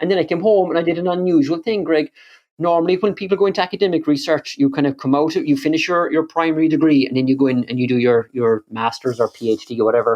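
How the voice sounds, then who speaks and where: A man with a Kerry accent talks at a very fast pace, his fairly high voice moving with ordinary pitch variation. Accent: Kerry Irish. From Ireland, County Kerry. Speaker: energy and climate researcher. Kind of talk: podcast interview. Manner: frequent repetitions and fillers.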